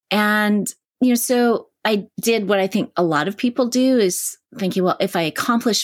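In a Canadian accent, a woman talks in an ordinary speaking voice with ordinary pitch variation. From Canada. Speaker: psychotherapist and mindfulness teacher. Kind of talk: interview.

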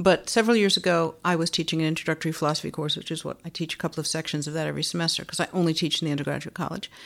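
Over a silent background in a very clean recording, a woman talks very fast at a fairly low pitch with vocal fry, fairly even intonation and hardly any pauses. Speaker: philosophy professor. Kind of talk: moderated interview discussion.

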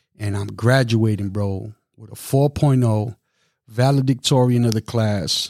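On a very clean recording with a silent background and a dry, close sound with no echo, a man of medium pitch speaks at a fairly slow pace with fairly even intonation and big swings in loudness. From Brooklyn, New York; Puerto Rican family. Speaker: DJ, formerly incarcerated. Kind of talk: casual interview.

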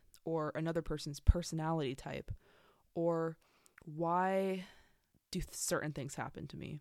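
A woman in a Southern Californian accent speaks fairly slowly at a very deep, low pitch with monotone, flat intonation. The recording is very clean, with a silent background. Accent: Southern California American. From San Diego, California. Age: 20s. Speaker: podcaster and college student. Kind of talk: casual solo podcast monologue. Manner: halting, many fillers.

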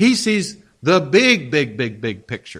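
A man's bright, sharp tone carries vocal fry and very wide pitch swings. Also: very clean recording, silent background. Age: 60s. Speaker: pastor. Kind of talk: sermon. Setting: church. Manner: halting, many fillers.

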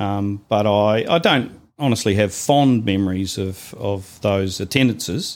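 In a New Zealand accent, a man talks with a fairly low pitch. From New Zealand, Invercargill. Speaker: church member. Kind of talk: interview about life story.

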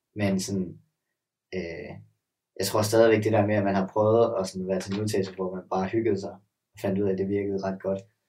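A man speaks at a fairly quick pace with long, frequent pauses, his pitch fairly low. His tone is dark and mellow, his intonation flat and monotone. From Denmark, Sønderborg (Southern Jutland). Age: 20s. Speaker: gymnast. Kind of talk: casual chat.

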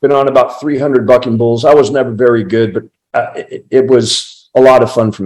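A man with an American accent and a plain, everyday voice, medium in pitch, at a moderate pace with fairly even intonation. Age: 60s. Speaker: veteran stunt performer and stunt coordinator. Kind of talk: interview.

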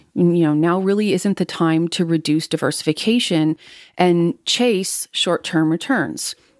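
A woman with an ordinary speaking voice, fairly low in pitch, with ordinary pitch variation, very even loudness and a fairly slow pace, dry and close with no echo on a very clean recording with a silent background. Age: 40s. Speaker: financial planner and podcast host. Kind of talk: monologue podcast on investing.

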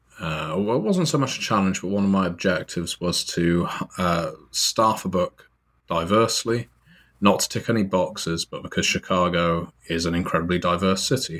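In a very clean recording with a silent background, a man with a British accent speaks at a moderate pace, his very deep, low pitch carrying fairly even intonation. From Britain. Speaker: writer and podcaster. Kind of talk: casual interview.

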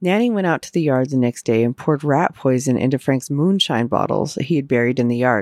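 The speech moves at a very fast pace. There are hardly any pauses. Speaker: podcast host. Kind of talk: true-crime narration. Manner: measured, solemn storytelling.

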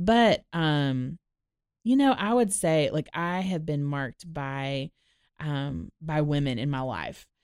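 Speaking at a fairly slow pace, a woman with an American accent has a very deep, low pitch, caught in a very clean recording with a silent background. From Florida, Orlando. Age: 30s. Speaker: podcast host. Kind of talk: casual chat. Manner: animated.

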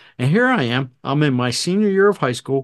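Against a quiet background, a man with a normal speaking voice and an American accent talks at a fairly quick pace, with fairly high pitch and lively intonation. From southern New Jersey. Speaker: retired fire battalion chief, podcast host. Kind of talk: casual chat.

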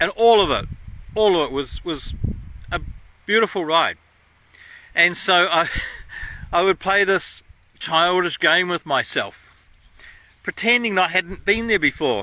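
Speaking with an Australian accent, a man uses a high pitch, a bright, sharp tone and ordinary pitch variation. He goes at a fairly slow pace with long, frequent pauses. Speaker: podcast host. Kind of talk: casual monologue. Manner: hesitant, with fillers.

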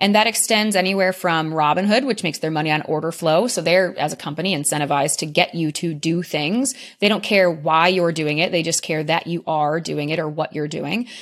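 With an American accent, a woman talks at a fairly quick pace with hardly any pauses, in a fairly low pitch with ordinary pitch variation. She has a normal speaking voice, and the very clean recording has a silent background. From rural Michigan, US. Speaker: startup founder and finance expert. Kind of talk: interview.

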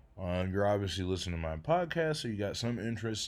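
A man talks at a fairly quick pace with a fairly low pitch. It is a normal speaking voice. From Detroit, Michigan. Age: 30s. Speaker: podcaster and comedian. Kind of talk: casual monologue.

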